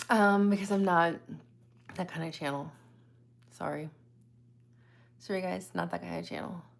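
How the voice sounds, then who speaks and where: A soft-spoken woman at a moderate pace, with long, frequent pauses. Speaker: psychic medium and live streamer. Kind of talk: casual live stream chat with viewers.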